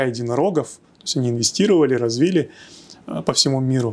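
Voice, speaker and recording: A man talks in a fairly high voice with ordinary pitch variation. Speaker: tech hub executive. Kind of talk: podcast interview. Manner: hesitant, many fillers. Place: studio. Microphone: lapel.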